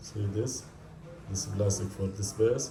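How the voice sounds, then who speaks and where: There is noticeable background noise and audible room echo. A man with a fairly low pitch speaks at a very slow pace with fairly even intonation. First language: not English. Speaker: DIY repair video maker. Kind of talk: tutorial. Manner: halting.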